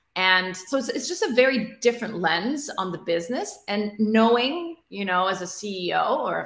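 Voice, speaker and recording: Lively intonation and a moderate pace carry through audible room echo over a quiet background. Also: woman. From Middle East (Egypt, Kuwait, Abu Dhabi). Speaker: tech founder and CEO; guest. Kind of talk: interview. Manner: repetitive fillers, restarts. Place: home room.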